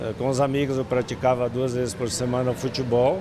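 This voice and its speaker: A man talks at a moderate pace with a medium pitch. Noticeable background noise runs under his voice. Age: 60s. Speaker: interviewee, gym member. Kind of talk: news interview.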